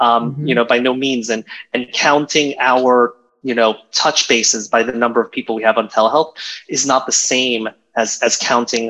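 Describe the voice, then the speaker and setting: Speaking at a moderate pace with an American accent, a man has a bright, sharp tone, a medium pitch and fairly even intonation. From Virginia, US. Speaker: emergency physician and professor. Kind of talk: panel discussion. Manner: hesitant, many fillers and repetitions.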